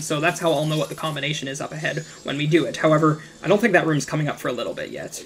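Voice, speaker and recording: The speech comes at a very fast pace over noticeable background noise. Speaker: gaming YouTuber. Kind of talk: gameplay commentary. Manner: hesitant, many fillers.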